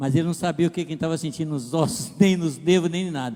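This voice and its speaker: A man delivers his words fairly quickly. He has a fairly high pitch, varying in an ordinary way. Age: 60s. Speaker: pastor. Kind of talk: testimony.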